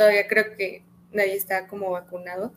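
A woman talks at a medium pitch. Her intonation stays flat and monotone. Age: 20s. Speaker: podcast host. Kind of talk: casual interview.

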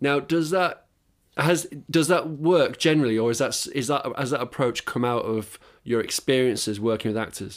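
At a moderate pace, a man with a fairly high pitch and a normal speaking voice is heard on a very clean recording with a silent background. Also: ordinary pitch variation. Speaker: podcast host. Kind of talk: casual interview chat. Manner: casual, chatty.

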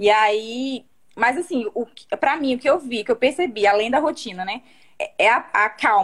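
Lively intonation in a woman's high voice. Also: moderate pace. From Brazil, Rondônia (Vilhena). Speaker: mother sharing her baby sleep story. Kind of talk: testimony. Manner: halting.

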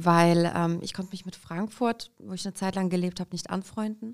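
A woman's voice at medium pitch, a normal speaking voice, on a very clean recording with a silent background. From Kazakhstan, raised in Hesse, Germany from age five. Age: 30s. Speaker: entrepreneur, shop franchise founder. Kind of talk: interview.

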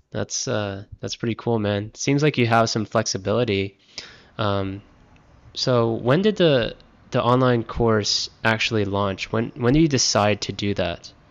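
This man has an unremarkable speaking voice at medium pitch. He talks at a fairly slow pace with ordinary pitch variation. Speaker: podcast host. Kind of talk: interview. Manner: casual, laughs often.

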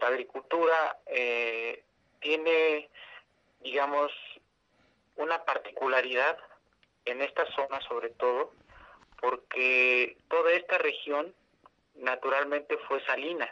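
A man with a central Mexican accent speaks very slowly, pausing long and often. His tone is bright and sharp, and his intonation stays fairly even. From San Salvador Atenco, State of Mexico, central Mexico. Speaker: community land-defense activist. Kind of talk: interview testimony. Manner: halting, with repetitions.

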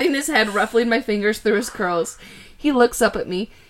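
A reading voice, unforced

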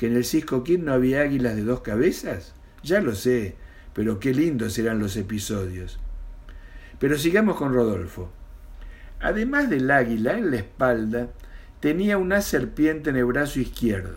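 A man speaks with an Argentine accent, his pitch swinging very widely. Long pauses come often, and the room echo is audible. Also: medium pitch for a man, fairly slow pace. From Argentina, Mendoza. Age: 60s. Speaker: retired storyteller. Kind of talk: reading aloud.

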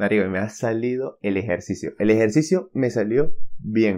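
A man against a quiet background. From Venezuela. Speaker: podcast host. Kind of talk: casual solo podcast monologue. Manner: hesitant, many fillers.

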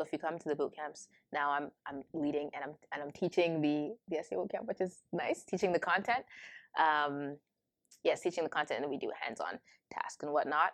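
A woman speaks with a Toronto accent and a very deep, low pitch. The sound is dry and close, with no echo. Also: ordinary pitch variation, fairly quick pace. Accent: Canadian (Toronto area). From Canada, Ontario (Brampton). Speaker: university student. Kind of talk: casual interview. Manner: lots of fillers, laughs often.

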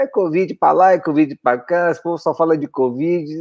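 This man has a plain, everyday voice, fairly high in pitch, with ordinary pitch variation and a moderate pace. The sound is dry and close, without any echo. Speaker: podcast co-host. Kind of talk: casual chat.

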